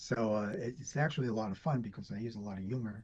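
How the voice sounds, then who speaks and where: Very fast, somewhat breathy male speech with a dark, mellow tone at medium pitch. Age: 60s. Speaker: doctor. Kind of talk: interview.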